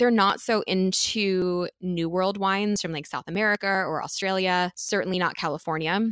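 A woman speaks in an unremarkable speaking voice at a medium pitch. The recording is very clean, with a silent background. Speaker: sommelier. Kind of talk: casual interview chat.

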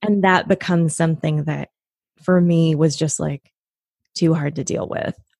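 A woman with an American accent speaks somewhat breathily at a fairly low pitch and a moderate pace, with fairly even intonation and long, frequent pauses, in a very clean, silent recording with a dry, close sound and no echo. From US Pacific Northwest, Washington State near Tacoma. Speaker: actress, writer and voice teacher. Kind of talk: casual interview.

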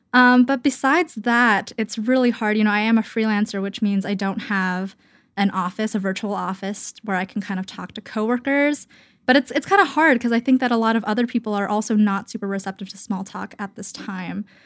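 On a very clean recording with a silent background, a woman speaks at a fairly quick pace with a fairly high pitch. Her pitch variation is ordinary, while her loudness swings widely. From Canada. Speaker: freelance writer. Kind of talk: interview. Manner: hesitant, many fillers.

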